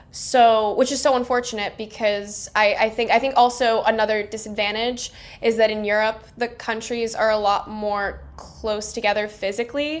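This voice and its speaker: With an American accent, a woman speaks in an unremarkable speaking voice at a fairly high pitch. Her pace is moderate, and she hardly pauses. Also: fairly even intonation. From Miami, Florida, US. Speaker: film director. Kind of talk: casual interview.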